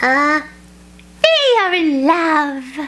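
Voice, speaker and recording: This put-on character voice is squeaky and high-pitched. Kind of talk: children's read-aloud. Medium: read story. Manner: calm, matter-of-fact.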